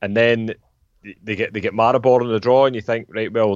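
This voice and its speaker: A man with a Scottish accent at a medium pitch, talking at a very fast pace in a monotone, flat intonation. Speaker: football podcast co-host. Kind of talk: casual chat.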